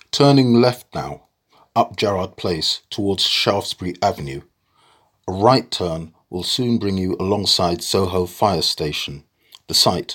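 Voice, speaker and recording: In a very clean recording with a silent background, a man with a very deep, low pitch speaks at a fairly slow pace with ordinary pitch variation. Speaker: tour guide narrator. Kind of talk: scripted walking-tour narration, then poem reading aloud. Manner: measured, formal, clear.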